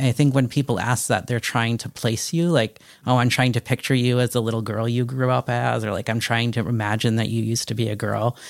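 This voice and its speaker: On a very clean recording with a silent background and a dry, close sound with no echo, a man with an American accent uses a plain, everyday voice of medium pitch, speaking at a fairly quick pace with fairly even intonation. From Connecticut, small town. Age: 30s. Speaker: transgender father, podcast guest. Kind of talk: interview conversation.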